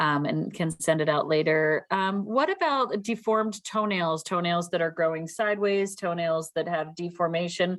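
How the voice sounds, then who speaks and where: In a quiet background, a woman with an ordinary speaking voice talks at a moderate pace in a fairly low pitch, with ordinary pitch variation, very even loudness, and hardly any pauses. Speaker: meeting moderator.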